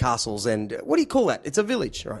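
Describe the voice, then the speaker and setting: This man speaks with an Australian accent, the background around him quiet. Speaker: podcast host. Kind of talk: casual chat.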